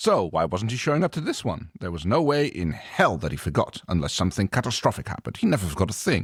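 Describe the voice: The speaker simply reads the text aloud in a plain way.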